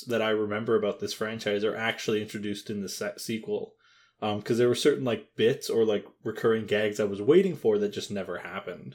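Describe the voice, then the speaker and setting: In a very clean recording with a silent background, a man talks at a fairly quick pace, medium in pitch with ordinary pitch variation. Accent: Canadian. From Canada. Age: 20s. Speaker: podcast co-host. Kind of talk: casual chat. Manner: halting, many fillers.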